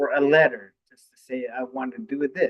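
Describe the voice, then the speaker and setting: The speaker goes at a fairly slow pace with ordinary pitch variation. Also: man. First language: Ojibwe. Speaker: university student and community panelist. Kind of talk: panel discussion. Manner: halting, many fillers.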